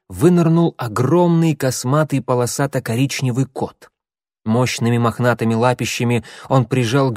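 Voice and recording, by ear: The clip is reading aloud in a natural voice with ordinary pitch variation. The background is quiet.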